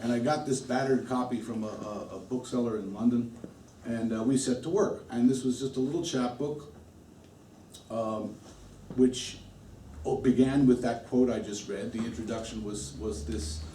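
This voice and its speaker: With long, frequent pauses, a man speaks at a medium pitch with ordinary pitch variation, and there is audible room echo. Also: moderate pace. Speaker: musician. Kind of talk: talk to an audience. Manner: halting.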